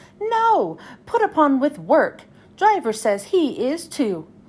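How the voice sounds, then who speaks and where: A woman performs a put-on character voice. It sits high and makes very wide pitch swings. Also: fairly slow pace. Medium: read story. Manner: grumbling.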